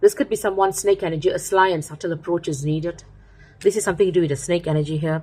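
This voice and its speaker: A woman speaks very fast in a somewhat breathy, dark, mellow voice, fairly low in pitch with fairly even intonation. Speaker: tarot reader. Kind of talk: tarot reading.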